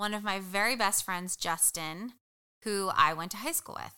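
In a very clean recording with a silent background, a woman with an American accent speaks slowly-ish at a fairly slow pace, her medium-pitched voice bright and sharp in tone. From New Jersey. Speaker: nonprofit founder. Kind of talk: interview.

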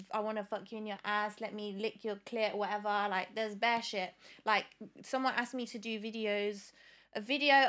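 A woman speaks at a moderate pace in a fairly high pitch, her bright, sharp tone set in monotone, flat intonation, in a very clean recording with a silent background. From Leicester, England. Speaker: singer-songwriter. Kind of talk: casual podcast interview.

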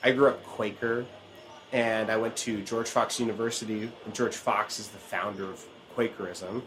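With music in the background, a man in an American accent talks at a moderate pace and medium pitch, his intonation monotone and flat and his loudness swinging widely. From Oregon. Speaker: banjo player and podcast host. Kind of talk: casual chat. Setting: outdoors, later indoors.

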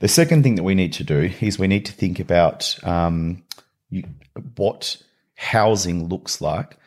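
Talking at a moderate pace, a man with a fairly low voice and an Australian accent uses lively intonation. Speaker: nonprofit CEO. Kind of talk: podcast interview.

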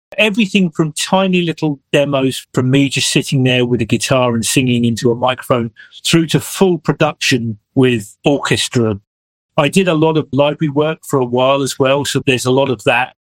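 Recorded with a dry, close sound and no echo, a man with an English accent speaks with ordinary pitch variation. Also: fairly high pitch for a man, moderate pace. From England. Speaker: musician and songwriter. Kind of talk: interview.

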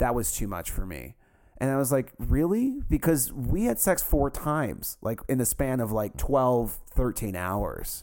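A man's speech moves at a fairly slow pace. The background is silent, and the recording is very clean. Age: 30s. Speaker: anonymous podcast guest. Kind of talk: casual chat.

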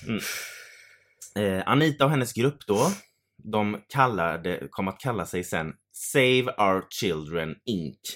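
In a very clean recording with a silent background, a man with a fairly low pitch speaks at a very slow pace with lively intonation. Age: 30s. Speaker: podcast co-host. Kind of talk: casual chat. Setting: home studio.

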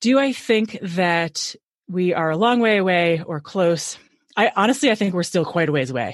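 A woman speaks at a fairly quick pace. Her pitch sits fairly low. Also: quiet background. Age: 40s. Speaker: consultant for CPA firms. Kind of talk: interview.

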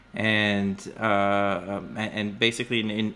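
A man with an Israeli accent, a fairly low pitch and a bright, sharp tone. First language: Hebrew. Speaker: biotech startup founder and CEO. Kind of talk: interview. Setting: video call. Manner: halting, many fillers.

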